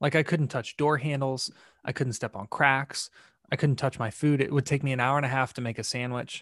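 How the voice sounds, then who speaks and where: A man talks at a fairly quick pace in a very clean recording with a silent background and a dry, close sound without echo. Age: 20s. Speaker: mental health advocate. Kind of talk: casual chat. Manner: animated.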